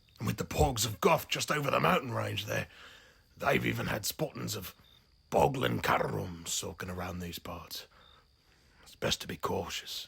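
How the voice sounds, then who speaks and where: Putting on a raspy character voice, a man speaks very deep and low with very wide pitch swings, a moderate pace, and long, frequent pauses. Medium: solo performance. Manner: rambling, hesitant, folksy.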